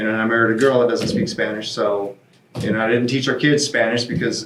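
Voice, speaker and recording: Against noticeable background noise, a man with a medium pitch speaks at a very fast pace in fairly even intonation. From South Texas, Mexican border. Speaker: retired expat. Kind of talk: casual chat. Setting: studio.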